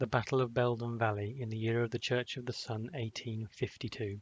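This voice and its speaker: An unremarkable speaking voice from a man, medium in pitch, fairly even in intonation, at a moderate pace. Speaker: author reading own book. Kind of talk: audiobook fantasy narration.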